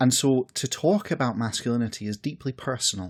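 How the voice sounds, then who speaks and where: A man speaks at a moderate pace with a Scottish accent. The recording is very clean, with a silent background. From west coast of Scotland. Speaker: podcast host. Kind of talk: personal essay monologue. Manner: reflective, conversational.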